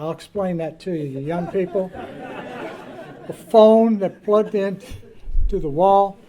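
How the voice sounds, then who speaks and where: The speech moves at a very slow pace, with crowd noise in the background. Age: 70s. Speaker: banquet emcee. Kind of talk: after-dinner remarks. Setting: banquet with audience.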